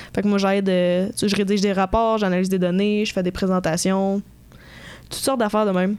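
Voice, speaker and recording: A woman talks at a fairly quick pace in a medium pitch. Her intonation stays monotone and flat. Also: very clean recording, silent background. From Quebec, Sherbrooke. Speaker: economics student podcaster. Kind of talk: casual chat.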